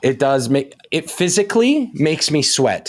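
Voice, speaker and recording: With a slight Canadian accent, a man speaks in an animated tone at a high pitch, his voice making very wide pitch swings. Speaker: nutrition coach. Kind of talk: casual chat. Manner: fast.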